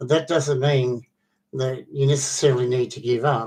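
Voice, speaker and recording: Against a quiet background, a man with a medium pitch and a somewhat breathy voice talks at a moderate pace with fairly even intonation. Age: 60s. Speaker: vlogger. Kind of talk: casual monologue. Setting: online video. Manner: halting.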